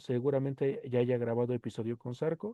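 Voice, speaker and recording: Fairly quick talk from a man. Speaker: podcast host. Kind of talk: solo podcast monologue. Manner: fast; casual.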